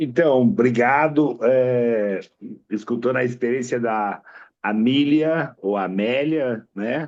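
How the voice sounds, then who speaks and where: At a very slow pace, a man talks in a medium pitch with ordinary pitch variation. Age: 50s. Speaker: veterinarian. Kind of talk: self-introduction at club meeting.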